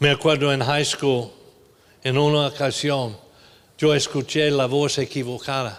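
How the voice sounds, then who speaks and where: Pausing long and often, a man with a fairly high pitch speaks at a fairly slow pace, with very even loudness and monotone, flat intonation. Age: 70s. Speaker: pastor. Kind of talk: sermon. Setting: church.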